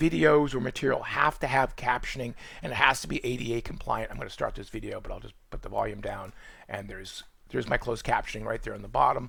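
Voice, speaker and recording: A man with a Boston accent talks at a very fast pace. His loudness swings widely. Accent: New England (Boston) accent, still present. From Boston, New England. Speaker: college nutrition instructor. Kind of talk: tutorial. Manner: non-rhotic, drops r's.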